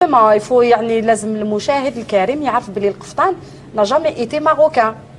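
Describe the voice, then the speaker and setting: A woman speaks at a fairly quick pace with very even loudness. Noticeable background noise is present. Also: fairly high pitch for a woman, ordinary pitch variation. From Algeria. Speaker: fashion designer. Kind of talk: TV talk show discussion. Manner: animated.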